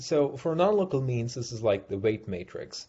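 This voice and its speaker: Somewhat breathy, a man's medium-pitched voice carries lively intonation. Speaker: invited research speaker. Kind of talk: technical seminar lecture. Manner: hesitant, many fillers.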